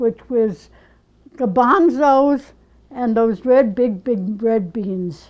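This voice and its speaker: In a New York accent, a woman with a high pitch speaks with lively intonation. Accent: old New York. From New York City (Bronx, Lower East Side). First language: Yiddish. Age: 80s+. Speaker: ceramic artist. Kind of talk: oral history interview. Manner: halting.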